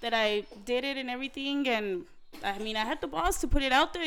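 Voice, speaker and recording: A woman's high voice, very fast and with lively intonation. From New Mexico, Santa Fe. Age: 20s. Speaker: guest. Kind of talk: casual chat.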